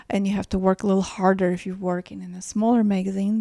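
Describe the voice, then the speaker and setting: A woman with a Ukrainian accent speaks at a medium pitch in a dark, mellow tone with fairly even intonation, in a very clean recording with a silent background and a dry, close sound with no echo. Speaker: fashion stylist and editor. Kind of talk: casual interview conversation. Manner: hesitant, self-correcting, many fillers.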